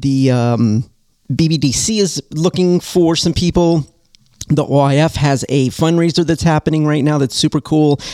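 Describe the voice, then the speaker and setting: A man with an American accent speaks in an animated tone at a moderate pace, his pitch fairly high. The sound is dry and close with no echo. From US West Coast (Southern California). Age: 50s. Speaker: podcast host, author and speaker with brittle bone disease. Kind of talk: casual live-stream talk.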